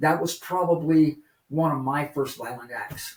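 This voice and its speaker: At a fairly slow pace, a man speaks with fairly even intonation in an ordinary speaking voice. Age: 60s. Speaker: recovering addict. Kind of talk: testimony.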